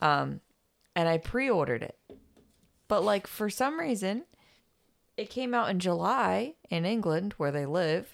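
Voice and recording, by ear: A woman talks fairly slowly at a medium pitch, leaving long, frequent pauses. Her pitch swings very widely.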